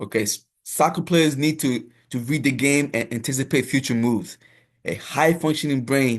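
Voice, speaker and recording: Intonation stays fairly even as the words come at a moderate speed. Behind the voice, the background is quiet. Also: man. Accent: African. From Africa. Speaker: soccer coach. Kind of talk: lecture. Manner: reads slides aloud with filler asides.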